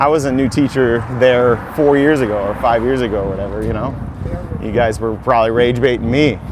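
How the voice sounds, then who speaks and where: A man with a medium-pitched voice talks at a fairly quick pace and with fairly even intonation, with audible room echo and noticeable background noise. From South Dakota, US Midwest. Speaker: music teacher and YouTuber. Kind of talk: casual walking livestream. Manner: fast; casual.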